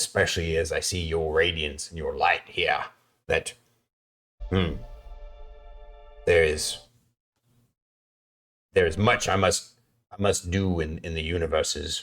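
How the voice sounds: A man's put-on character voice, extremely low in pitch, with a fairly bright tone, a slow pace, long and frequent pauses, and faint music in the background. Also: fairly even intonation.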